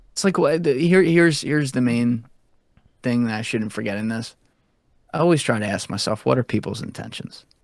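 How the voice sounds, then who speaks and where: A man at a medium pitch has a plain, everyday voice and lively intonation. He talks at a fairly quick pace on a very clean recording with a silent background. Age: 20s. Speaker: podcast host and former Wall Street banker. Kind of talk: casual chat.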